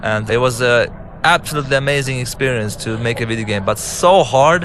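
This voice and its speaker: With an Arabic accent, a man speaks at a fairly quick pace with ordinary pitch variation over noticeable background noise. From Lebanon. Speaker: game director and filmmaker. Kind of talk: director's commentary over gameplay. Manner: casual, halting with false starts.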